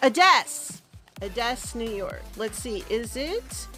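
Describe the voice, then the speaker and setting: With music in the background, a woman talks very slowly. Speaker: beauty vlogger. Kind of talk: casual talk to camera. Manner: sassy.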